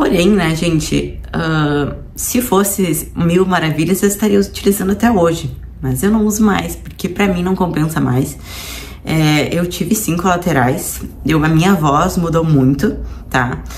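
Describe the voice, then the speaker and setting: A woman speaks in a fairly low pitch at a fairly slow pace, with ordinary pitch variation. Audible room echo and noticeable background noise fill the recording. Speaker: nutritionist and fitness vlogger. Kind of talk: personal vlog testimony. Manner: casual, conversational.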